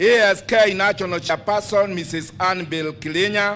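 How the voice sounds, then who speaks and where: A man with a Kenyan accent speaks at a fairly slow pace in a high pitch, his tone bright and sharp. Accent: Kenyan, Kikuyu-accented English. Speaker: agricultural show branch chairman. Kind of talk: formal speech at public event. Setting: PA system, outdoors.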